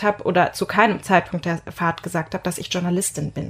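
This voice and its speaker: A woman speaks with fairly even intonation. Her voice is somewhat breathy. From Germany, North Rhine-Westphalia. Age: 20s. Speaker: journalist. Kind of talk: interview.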